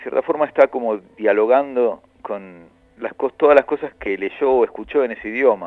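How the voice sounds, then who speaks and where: Speaking in a normal speaking voice, a man keeps a middle pitch, ordinary pitch movement and a moderate pace. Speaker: musician and writer. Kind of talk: interview.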